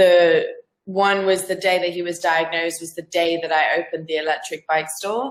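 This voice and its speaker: A woman with an Australian accent talks at a moderate pace. Her pitch sits fairly low and her intonation stays fairly even. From Zambia. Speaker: freelance business owner. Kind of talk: casual interview chat. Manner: halting, many fillers and repeats.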